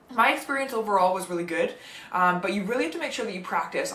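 A woman speaks at a very fast pace with audible room echo. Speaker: medical student vlogger. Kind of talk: casual vlog chat. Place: home room.

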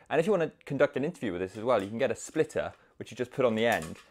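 Here a man talks at a very fast pace. The background is quiet. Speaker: reviewer. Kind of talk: casual product review to camera. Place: home room. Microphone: lapel.

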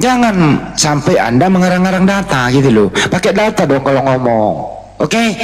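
A high-pitched man at a moderate pace with very wide pitch swings, amid audible room echo and noticeable background noise. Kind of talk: heated debate. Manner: interrupts loudly.

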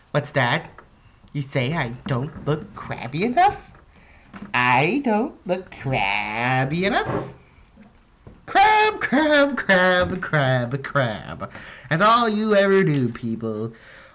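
In a put-on character voice at a middle pitch, the speaker goes at a very slow pace with long, frequent pauses. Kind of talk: voice acting audition. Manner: comedic, hammy.

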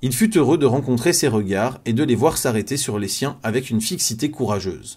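A somewhat breathy man's voice at medium pitch, in a very clean recording with a silent background. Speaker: audiobook narrator. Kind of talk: reading aloud. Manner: fast.

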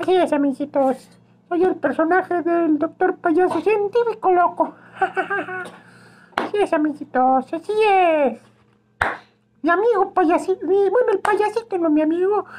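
Using a put-on character voice, a man speaks at an extremely high pitch with long, frequent pauses. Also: moderate pace. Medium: role play.

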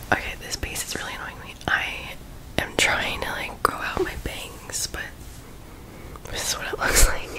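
Someone whispers at a fairly slow pace. The loudness swings widely. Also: woman. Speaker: ASMR creator. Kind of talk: ASMR casual talk to camera. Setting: close microphone recording at home. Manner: whispered, soft-spoken. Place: home room. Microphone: studio mic.

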